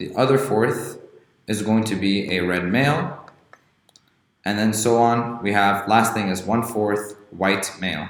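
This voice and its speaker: A man with a plain, everyday voice speaks at a fairly slow pace in a fairly low pitch, with ordinary pitch variation. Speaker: genetics tutor. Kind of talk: educational lecture.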